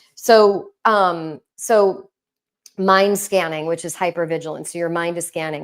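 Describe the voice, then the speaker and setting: A woman with an American accent, medium pitch, ordinary pitch variation and an animated tone, in a very clean recording with a silent background. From New York. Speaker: intimacy and relationship coach. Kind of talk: live stream talk.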